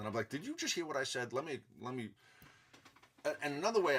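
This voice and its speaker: Delivered at a very fast pace, the speech has a strong New York accent and vocal fry. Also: man. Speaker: self-help vlogger. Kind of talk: casual monologue.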